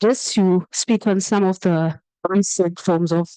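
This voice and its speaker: A woman talks with a dark, mellow tone and fairly even intonation, recorded with a dry, close sound and no echo. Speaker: workshop presenter. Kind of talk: lecture. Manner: fast.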